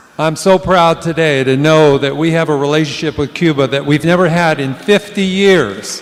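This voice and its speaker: Over noticeable background noise, a man with a fairly high voice speaks at a moderate pace with ordinary pitch variation and hardly any pauses. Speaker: war veteran, veterans post officer. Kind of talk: stage speech. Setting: stage with audience. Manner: enthusiastic.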